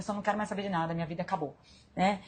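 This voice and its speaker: Her voice somewhat breathy, a woman speaks at medium pitch. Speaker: live stream host, self-development coach. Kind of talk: live stream talk. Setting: hospital room.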